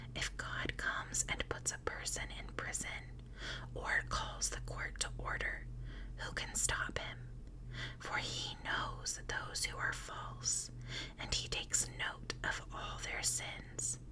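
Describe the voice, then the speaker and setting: A woman whispers at a very slow pace, with noticeable background noise behind her. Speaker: ASMR content creator. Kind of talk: whispered Bible reading. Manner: whispered.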